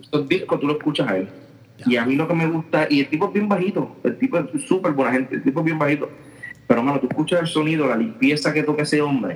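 A man with a Puerto Rican accent talks at a very fast pace, his pitch fairly high with ordinary variation. Noticeable noise sits in the background. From Puerto Rico, Aguadilla. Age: 30s. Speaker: drummer. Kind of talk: casual chat.

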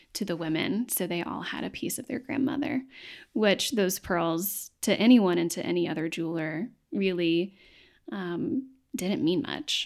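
On a very clean recording with a silent background, a woman with an East Tennessee accent talks at a moderate pace, her fairly low pitch carrying lively intonation. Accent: Southern US (East Tennessee). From East Tennessee, Knoxville. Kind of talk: interview conversation.

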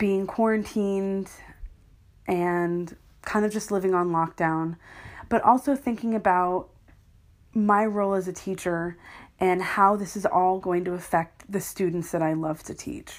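With an American accent, a woman speaks at a moderate pace and a medium pitch. She has an unremarkable speaking voice with ordinary pitch variation. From US. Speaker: podcaster. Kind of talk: casual solo podcast monologue. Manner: casual, self-deprecating, chatty.

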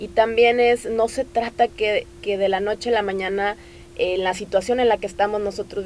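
Against noticeable background noise, a woman speaks at a moderate pace and medium pitch. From Tamaulipas, Mexico. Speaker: NGO coordinator. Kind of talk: interview.

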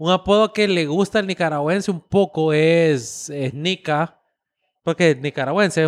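In a very clean recording with a silent background, a man speaks in a plain, everyday voice, fairly high in pitch with ordinary variation, and the sound is dry and close with no echo. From United States, Nicaraguan family. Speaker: podcast co-host. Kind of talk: casual chat.

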